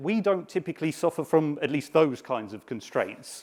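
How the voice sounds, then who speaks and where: This man has a British accent. He talks at a moderate speed. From UK. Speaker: software developer, conference speaker. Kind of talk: conference talk.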